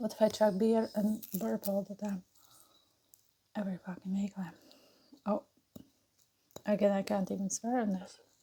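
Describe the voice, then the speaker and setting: Somewhat breathy and dark, mellow in tone, a woman talks at a moderate pace in a monotone, flat way, leaving long, frequent pauses. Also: medium pitch for a woman. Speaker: mukbang and burping YouTuber. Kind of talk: casual chat while eating and drinking. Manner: hesitant, filler-heavy.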